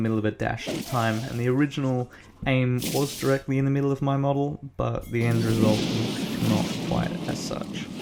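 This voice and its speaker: Against noticeable background noise, a man talks at a fairly quick pace. His medium-pitched voice keeps fairly even intonation. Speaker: gaming commentator. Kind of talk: gameplay commentary voiceover.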